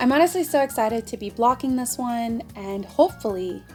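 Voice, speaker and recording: Music plays in the background as a woman speaks at a moderate pace. Her voice is high-pitched, with lively intonation. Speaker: knitting vlogger. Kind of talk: casual talk to camera.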